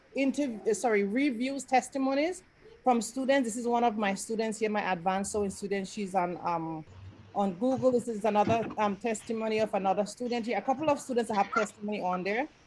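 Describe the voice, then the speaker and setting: Somewhat breathy, a woman talks fairly quickly at a fairly high pitch with ordinary pitch variation. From Grenada. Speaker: sewing teacher. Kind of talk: online class presentation. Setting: video call. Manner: fast.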